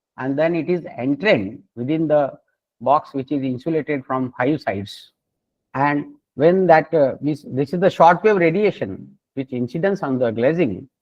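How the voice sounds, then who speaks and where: With an Indian accent, a man speaks at a moderate pace in a fairly high voice with lively intonation. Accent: Indian (Marathi) English. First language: Marathi. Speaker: solar energy researcher and professor. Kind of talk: lecture. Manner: halting.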